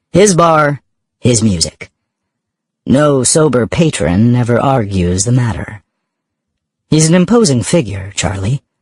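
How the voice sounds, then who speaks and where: Somewhat breathy, a man speaks at a fairly slow pace with very wide pitch swings and long, frequent pauses. The sound is dry and close, with no echo. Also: medium pitch for a man. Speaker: audiobook narrator. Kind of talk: audiobook narration.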